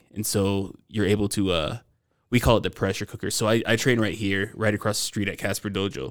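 With an ordinary speaking voice, a man talks at a fairly quick pace with fairly low pitch and fairly even intonation on a very clean recording with a silent background. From US South, Georgia (Stone Mountain). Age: 30s. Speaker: martial artist and security officer. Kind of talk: casual chat. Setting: recording at a brewery.

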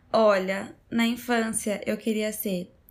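Somewhat breathy speech comes at a very slow pace on a very clean recording with a silent background. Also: woman. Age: 20s. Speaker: podcast host. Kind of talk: casual chat.

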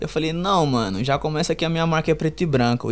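Lively intonation runs through speech delivered very fast. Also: man. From Brazil, Perus, São Paulo periphery. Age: 20s. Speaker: streetwear entrepreneur and designer. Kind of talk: casual interview.

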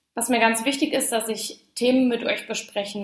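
Noticeable background noise fills the recording. A woman speaks through it at a moderate pace. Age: 20s. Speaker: podcast host, social media coach. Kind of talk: solo podcast monologue.

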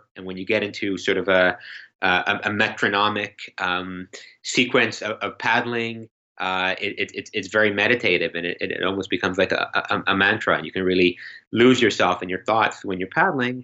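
Here a man speaks in a Canadian accent at a moderate pace. His pitch is fairly low and his intonation fairly even. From Canada, Toronto. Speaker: writer and editor. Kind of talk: podcast interview. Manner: halting, many repeated words.

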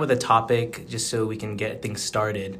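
This is an ordinary speaking voice with an American accent, moving at a fairly slow pace with fairly even intonation. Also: man. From Phoenix, Arizona. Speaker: student podcast co-host. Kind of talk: podcast interview. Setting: call.

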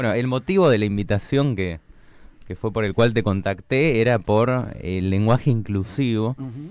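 Speaking at a moderate pace with ordinary pitch variation, a man with a medium-pitched voice has a Rioplatense accent. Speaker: radio host. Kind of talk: radio interview. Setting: studio.

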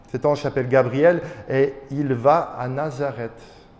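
A man is speaking. His pitch sits fairly high. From Belgium, Charleroi area, Wallonia. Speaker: pastor. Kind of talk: sermon. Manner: halting.

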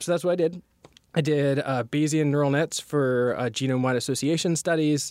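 Fairly high in pitch, a man talks in a plain, everyday voice with fairly even intonation. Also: fairly quick pace, very even loudness. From US South, North Carolina. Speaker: machine learning researcher, assistant professor. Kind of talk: interview.

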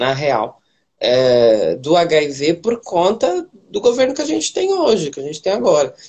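Her pitch rises and falls very widely as this woman talks rather slowly. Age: 20s. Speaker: city councillor and activist. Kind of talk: livestream interview.

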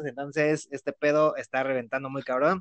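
A man's voice at a fairly high pitch. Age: 20s. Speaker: podcast host. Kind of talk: casual chat.

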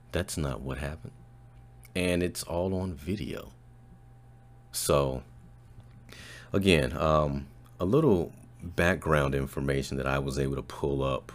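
Vocal fry marks a man's very deep, low voice with ordinary pitch variation. He talks at a fairly slow pace with long, frequent pauses. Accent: American. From Chicago. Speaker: podcast host and voiceover artist. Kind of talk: commentary monologue.

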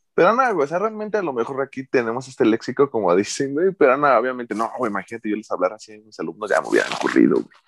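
The man talks at a very fast pace. The sound is dry and close, with no echo. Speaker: teacher, podcast co-host. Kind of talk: casual chat.

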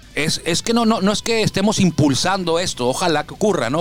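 Over noticeable background noise, a man talks at a fairly quick pace in an animated tone with lively intonation. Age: 40s. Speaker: sports radio host. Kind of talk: casual sports talk.

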